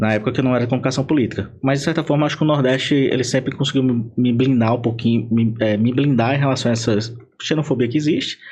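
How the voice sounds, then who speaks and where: A man talks at a very fast pace with a medium pitch. His voice is somewhat breathy, and his loudness stays very even. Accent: northeastern Brazilian. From Paraíba, Brazil. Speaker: political marketing consultant. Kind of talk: podcast interview. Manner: animated.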